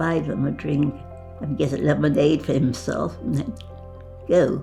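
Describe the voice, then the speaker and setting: A woman talking at a fairly slow pace over music in the background. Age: 80s+. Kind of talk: interview answer.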